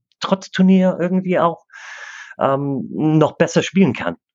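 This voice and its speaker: A man speaks at a fairly slow pace. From Canada. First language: English (speaking German). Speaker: disc golf club president and player. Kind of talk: interview. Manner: halting, many fillers.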